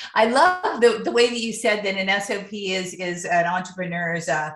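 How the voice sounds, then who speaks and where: Recorded with audible room echo and noticeable background noise, a woman with an American accent speaks at a medium pitch. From US Midwest (Ohio). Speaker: podcast host, professional organizer. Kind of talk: interview.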